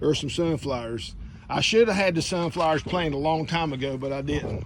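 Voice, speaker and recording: This man's voice is fairly high in pitch, with ordinary pitch variation. He talks at a fairly quick pace. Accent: Southern US. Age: 60s. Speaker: gardening vlogger. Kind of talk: casual garden walkthrough vlog. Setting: outdoors in garden. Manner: casual and chatty.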